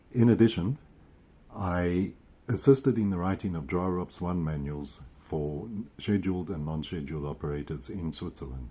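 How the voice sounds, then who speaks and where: A man with a very deep, low pitch, a dark, mellow tone, lively intonation and a moderate pace. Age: 70s. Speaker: retired airline pilot. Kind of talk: self-introduction video for a job application. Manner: halting.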